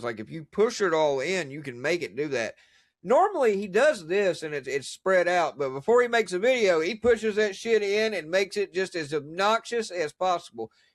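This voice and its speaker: A man talks loudly at a high pitch and moderate pace, with very wide pitch swings and hardly any pauses. His tone is animated, and the recording is very clean with a silent background. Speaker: podcast host. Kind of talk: casual chat.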